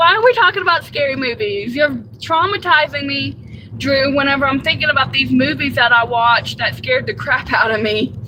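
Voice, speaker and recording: Through noticeable background noise, a woman with a Southern US accent talks at a moderate pace in a high pitch with lively intonation. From US South, Georgia. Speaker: live streamer, delivery driver. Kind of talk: casual live stream chat. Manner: chatty, frequent fillers.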